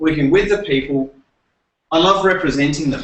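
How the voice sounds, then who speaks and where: With an Adelaide accent, a man speaks at a fairly high pitch with ordinary pitch variation. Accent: Australian (Adelaide). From Australia, Adelaide. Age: 30s. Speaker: presenter and former teacher. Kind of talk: presentation workshop. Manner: halting, many fillers and repeats.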